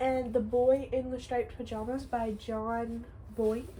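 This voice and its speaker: The voice has a dark, mellow tone and a moderate pace. Room echo can be heard. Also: woman. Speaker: book vlogger. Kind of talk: casual vlog, listing books.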